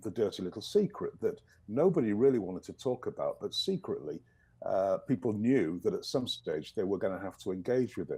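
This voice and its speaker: A man speaks at a moderate pace with a slight English accent. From northern England, East Yorkshire. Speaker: professor. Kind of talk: video interview. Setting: video call.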